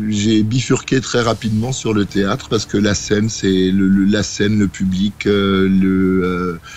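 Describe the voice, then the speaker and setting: A man talks at a very slow pace with a fairly low pitch. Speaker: band singer-songwriter and stage actor. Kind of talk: radio interview. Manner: hesitant, many fillers.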